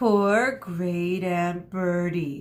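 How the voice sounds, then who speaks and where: A woman uses a put-on character voice. It sits at a fairly low pitch with ordinary pitch variation. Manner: condescending.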